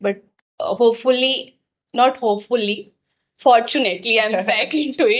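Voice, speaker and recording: With an Indian accent, a woman speaks at a moderate pace in a high pitch, her pitch varying in an ordinary way. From Bihar, India. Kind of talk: casual podcast conversation.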